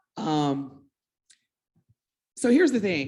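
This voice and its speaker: Delivered at a fairly slow pace, the speech comes with an American accent. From Evansville, Indiana. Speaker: entrepreneur panelist. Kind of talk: panel discussion.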